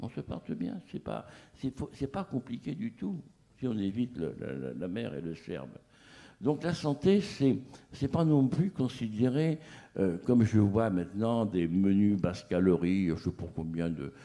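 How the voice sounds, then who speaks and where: Fairly low in pitch, a man talks with a dark, mellow tone. He goes at a fairly slow pace with very wide pitch swings. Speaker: chef. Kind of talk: panel talk. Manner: animated; eloquent.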